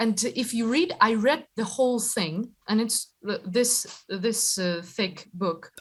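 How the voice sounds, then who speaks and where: A woman with a Ukrainian accent speaks at a very slow pace. Her fairly high voice is somewhat breathy. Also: ordinary pitch variation. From Ukraine. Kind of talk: interview answer.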